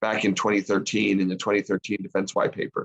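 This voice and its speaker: A very fast-talking man with an American accent. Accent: American (Arizona), little Australian. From Arizona, US. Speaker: foreign policy expert. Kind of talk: panel discussion.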